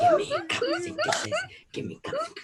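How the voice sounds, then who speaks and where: A squeaky, put-on character voice at an extremely high pitch. The pace is moderate. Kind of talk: comic, exaggerated. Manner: greedy, demanding, impression.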